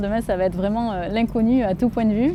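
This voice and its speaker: A woman with a southern French accent keeps a fairly even intonation over noticeable background noise. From Montélimar, Drôme, southeast France. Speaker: trail runner. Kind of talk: interview. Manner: halting, many hesitations.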